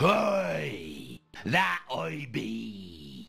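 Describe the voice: A man uses a put-on character voice that is raspy and very deep. Faint music sits in the background.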